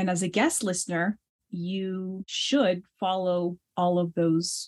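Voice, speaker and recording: Somewhat breathy, a woman with a Navajo Nation accent speaks at a fairly low pitch. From US Southwest, Navajo Nation. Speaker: pianist and scholar. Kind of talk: interview conversation.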